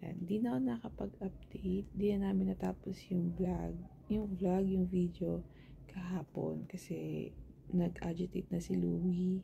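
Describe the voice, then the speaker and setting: Soft-spoken, a woman talks at a fairly slow pace. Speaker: family vlogger. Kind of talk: casual vlog talk.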